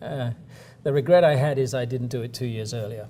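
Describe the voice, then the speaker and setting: Speaking at a fairly quick pace with an American accent, a man's somewhat breathy, dark, mellow voice sits at a medium pitch with ordinary pitch variation. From south-east England (Kent). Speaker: company chief executive. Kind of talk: interview.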